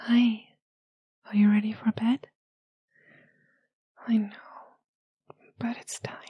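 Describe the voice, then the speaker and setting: A soft-spoken woman with a fairly high pitch, a gentle tone and monotone, flat intonation. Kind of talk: intimate roleplay talk to listener. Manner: soft-spoken, gentle.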